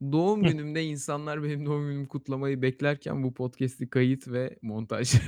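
A man with a fairly high pitch and an animated tone talks at a moderate pace with hardly any pauses, in a dry, close sound with no echo. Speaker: podcast host. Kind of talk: casual chat. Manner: animated, joking.

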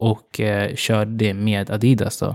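A man talks at a medium pitch. The sound is dry and close with no echo, and the recording is very clean with a silent background. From Uganda. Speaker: fashion influencer and marketing consultant. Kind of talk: interview. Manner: hesitant with many fillers.

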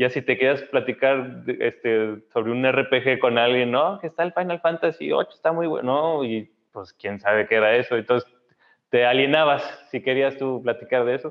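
A man speaks in a normal speaking voice at a medium pitch. His pace is moderate and his pitch varies in an ordinary way. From Mexico, Saltillo (Coahuila). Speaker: scientist and lecturer. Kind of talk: casual chat.

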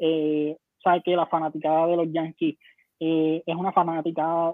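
A man speaks in a Puerto Rican accent. His pitch is high. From Puerto Rico, Humacao. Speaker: baseball commentator. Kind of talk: casual chat. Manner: halting, many repetitions.

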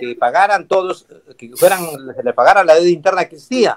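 A man's high voice in a dry, close sound with no echo. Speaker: constitutional lawyer. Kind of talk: panel debate.

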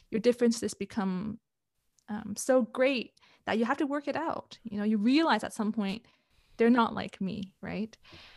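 A woman with a Canadian accent and an unremarkable speaking voice, fairly high in pitch, at a moderate pace with ordinary pitch variation. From Canada. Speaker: relationship coach. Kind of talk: interview. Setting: video call.

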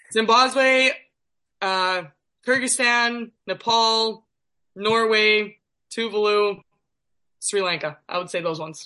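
With a Canadian accent, a woman speaks at a very slow pace and a fairly high pitch, her bright, sharp tone showing ordinary pitch variation and long, frequent pauses against a quiet background. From northern Manitoba, Canada (Thompson). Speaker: professional basketball player. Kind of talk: casual interview.

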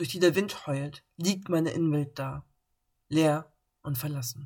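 Her pitch very deep and low, a woman speaks at a very slow pace with fairly even intonation. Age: 30s. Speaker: podcast host living with bipolar disorder. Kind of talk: personal monologue podcast; scripted reading.

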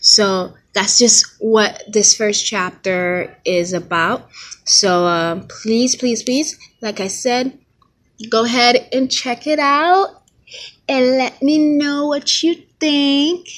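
A woman with an American accent speaks at a high pitch and a very slow pace. Her pitch swings very widely. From Haitian American. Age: 20s. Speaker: author and fashion designer. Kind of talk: solo podcast monologue. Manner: hesitant, many fillers.

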